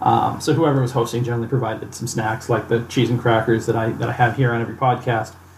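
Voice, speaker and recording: Amid noticeable background noise, a man speaks very fast at a medium pitch in a monotone, flat intonation. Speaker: podcast host. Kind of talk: casual tasting chat. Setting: studio podcast recording.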